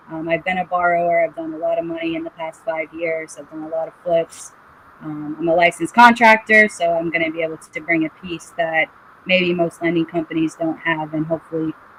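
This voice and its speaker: Speaking fairly quickly with a Boston accent, a woman has a fairly low pitch and monotone, flat intonation. Her loudness swings widely, and background noise is noticeable. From New England, Boston area. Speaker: licensed contractor and house flipper. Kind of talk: podcast interview.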